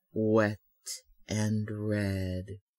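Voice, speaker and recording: A man speaks in a fairly low, soothing voice. His intonation stays monotone and flat. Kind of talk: hypnotic trance narration. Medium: solo performance. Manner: slow, soothing, rhythmic.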